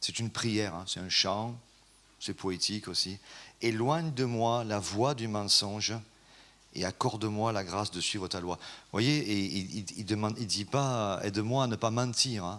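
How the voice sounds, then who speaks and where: A man with a southern French accent speaks at a fairly slow pace and fairly low pitch, with ordinary pitch variation and big swings in loudness, in a very clean recording with a silent background. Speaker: preacher. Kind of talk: sermon. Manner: hesitant, many fillers.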